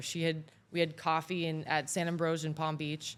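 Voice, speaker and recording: Recorded very cleanly against a silent background, a woman with a Florida accent speaks at a fairly low pitch. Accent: American, Florida. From southern Florida, Mexican family. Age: 20s. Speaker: AI expert. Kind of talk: casual interview chat. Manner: animated.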